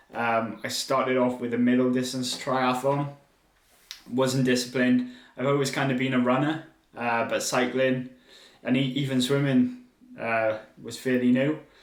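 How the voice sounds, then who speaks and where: With long, frequent pauses, a man speaks at medium pitch in a monotone, flat intonation, and room echo is audible. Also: moderate pace. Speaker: podcast host and triathlon brand founder. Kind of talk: solo podcast monologue. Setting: speaking to a camera.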